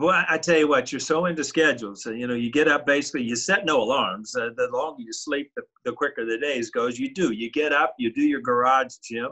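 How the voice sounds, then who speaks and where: Against a quiet background, a man talks at a fairly quick pace with ordinary pitch variation and hardly any pauses. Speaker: remote guest. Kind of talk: interview answer. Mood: relaxed, joking. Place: home room.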